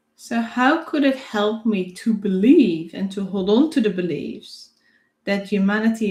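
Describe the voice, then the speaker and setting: The voice is somewhat breathy, with lively intonation. Its loudness swings widely. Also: woman. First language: not English. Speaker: theta healing instructor and psychic. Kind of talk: self-guided healing demonstration. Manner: reflective, thinking aloud.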